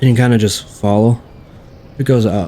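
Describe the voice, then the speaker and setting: Mumbling at a moderate pace, a man keeps his medium-pitched voice in fairly even intonation. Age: 40s. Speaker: gaming YouTuber. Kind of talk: gameplay tutorial. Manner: casual, rambling commentary.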